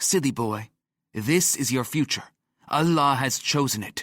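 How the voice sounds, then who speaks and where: Growling in a put-on character voice, a man speaks at medium pitch and a moderate pace with ordinary pitch variation, in a dry, close sound with no echo. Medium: read story. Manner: imperious, dismissive.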